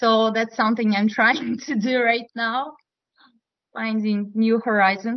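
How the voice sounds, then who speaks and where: A woman with a strong Russian accent, fairly high pitch, monotone, flat intonation and a fairly slow pace. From Russia, Moscow. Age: 30s. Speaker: poet. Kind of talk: casual chat. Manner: halting.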